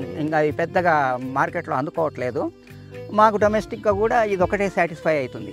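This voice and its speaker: A man with a fairly high pitch speaks in very wide pitch swings. Music plays in the background. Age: 70s. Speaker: organic rice farmer, retired teacher. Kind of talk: interview answer.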